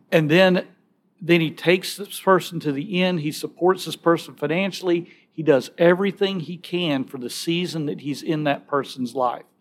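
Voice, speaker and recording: A man with a high pitch and fairly even intonation, in a Southern US accent, at a moderate pace. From Alabama. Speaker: pro-life ministry speaker. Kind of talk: conversational interview.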